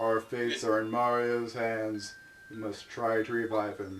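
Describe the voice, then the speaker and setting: Using a put-on character voice, a man talks at a moderate pace and medium pitch with monotone, flat intonation. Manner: gloomy, droopy, donkey-like.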